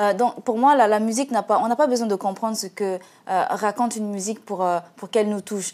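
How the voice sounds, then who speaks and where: A woman with a Central African accent, fairly high-pitched, at a fairly quick pace with fairly even intonation, in a very clean recording with a silent background. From Central African Republic. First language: Sango (speaking French). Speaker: singer. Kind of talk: TV interview. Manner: halting, many hesitations.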